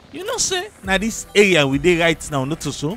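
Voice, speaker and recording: A man speaks in a dry space with no echo. Faint music plays in the background. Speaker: travel vlogger. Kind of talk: casual vlog chat.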